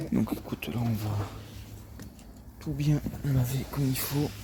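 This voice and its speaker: A man is speaking. He is soft-spoken. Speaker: car detailer and video creator. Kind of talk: casual vlog narration while working. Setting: outdoors at a body shop.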